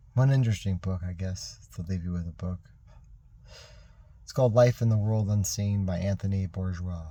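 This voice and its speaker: Mumbling with long, frequent pauses, a man speaks in a somewhat breathy, dark, mellow tone at a very deep, low pitch with ordinary pitch variation. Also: moderate pace. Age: 50s. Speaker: military veteran. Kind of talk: personal video message monologue. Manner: rambling, halting.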